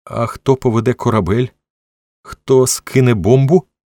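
A man uses a shaky, put-on character voice at medium pitch and moderate pace on a very clean recording with a silent background. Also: ordinary pitch variation. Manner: trembling.

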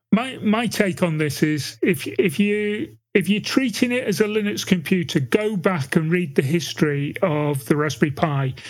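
Speaking with a British accent, a man uses a high pitch and lively intonation at a moderate pace. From UK. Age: old. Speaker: podcast co-host. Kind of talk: casual chat.

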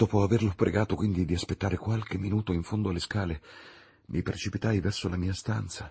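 With fairly even intonation, someone reads in a natural voice.

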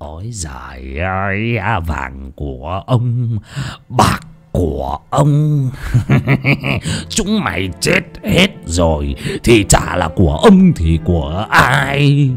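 This put-on character voice carries vocal fry and a slightly husky edge, swinging widely in pitch at a slow pace over faint background music. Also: man, low pitch for a man.

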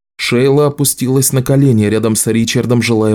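An unforced reading voice, nothing more

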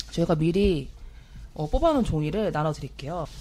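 Here a woman speaks at a fairly low pitch. Her intonation is lively. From South Korea, Gangwon Province (Taebaek). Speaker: podcast host and producer. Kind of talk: casual chat; reading aloud listener comments.

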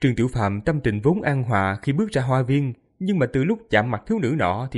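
The reading voice here sounds unforced.

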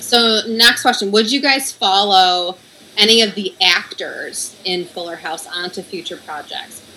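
The speech moves at a fairly slow pace with big swings in loudness. Noticeable background noise runs underneath. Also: woman, medium pitch for a woman, ordinary pitch variation. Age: 30s. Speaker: podcast moderator. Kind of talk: casual chat.

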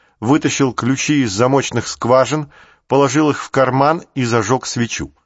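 An unforced reading voice carries the text. It does not change.

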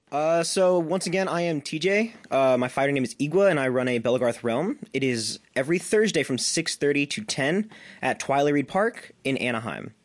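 A man with a normal speaking voice talks at a moderate pace with hardly any pauses, his fairly high pitch moving in lively intonation. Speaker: foam combat group leader. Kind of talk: casual chat.

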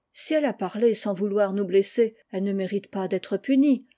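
The pitch moves in an ordinary way as this passage is read aloud in a natural voice.

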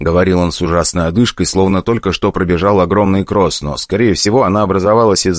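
Natural-voiced reading aloud

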